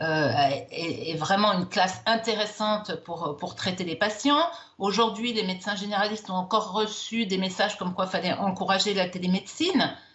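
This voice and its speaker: Noticeable background noise sits under a woman's voice. She talks at a moderate pace and medium pitch with ordinary pitch variation. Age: 60s. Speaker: doctor. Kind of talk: TV news interview.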